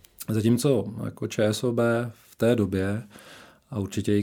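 Dark, mellow tone on a very clean recording with a silent background. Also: man. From Czechia, Šumperk (northern Moravia). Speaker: HR director of a bank. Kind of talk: interview. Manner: hesitant, many fillers.

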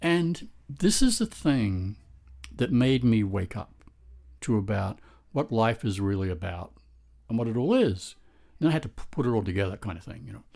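On a very clean recording with a silent background, a man with a dark, mellow, somewhat breathy tone speaks at a medium pitch and a moderate pace, his lively intonation marked by big swings in loudness and long, frequent pauses. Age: 60s. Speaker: podcast host. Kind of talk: monologue. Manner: hesitant.

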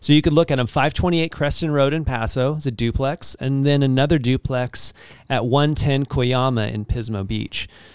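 A man talks at a moderate pace with a fairly high pitch and fairly even intonation. The recording is very clean and silent in the background, with a dry, close sound and no echo. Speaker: podcast host and real estate agent. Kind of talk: casual interview chat.

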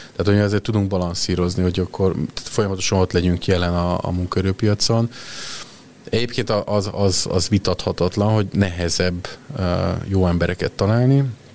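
Very even loudness and fairly even intonation over noticeable background noise. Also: man, very deep, low pitch for a man, fairly quick pace. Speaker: HR executive. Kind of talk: interview.

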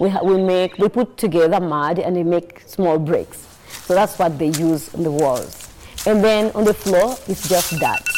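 Over noticeable background noise, a woman talks at a medium pitch and moderate pace with ordinary pitch variation. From Rwandan refugee raised in Uganda. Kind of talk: interview testimony.

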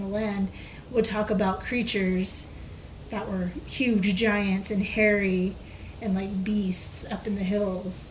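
A woman speaks at a medium pitch in a monotone, flat intonation and a fairly slow pace. Audible room echo and noticeable background noise are present. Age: 30s. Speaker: podcast co-host, storyteller. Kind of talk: casual storytelling chat.

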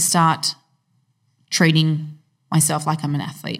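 On a very clean recording with a silent background, a woman speaks at a moderate pace in a somewhat breathy voice. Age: 30s. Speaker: fitness professional and personal trainer. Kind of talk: casual chat.

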